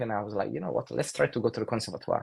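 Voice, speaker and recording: A man speaks with an Italian accent. The background is quiet. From Italy. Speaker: saxophonist. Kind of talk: casual chat.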